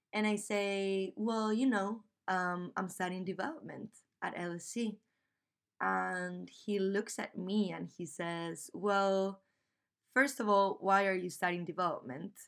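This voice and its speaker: A woman's medium-pitched voice with a Spanish accent, ordinary pitch variation and a fairly slow pace. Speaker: podcast host and graduate student. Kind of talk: scripted podcast intro, personal storytelling.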